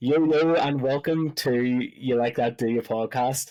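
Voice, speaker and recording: A man's medium-pitched voice in a Belfast accent at a very slow pace. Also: very clean recording, silent background. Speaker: podcast host. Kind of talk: casual podcast chat.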